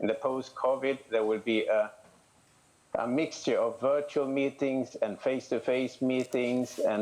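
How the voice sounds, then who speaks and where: A man with a Swedish accent. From Sweden. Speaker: candidate for federation vice president. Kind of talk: election candidate statement. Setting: video call. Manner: hesitant, many fillers.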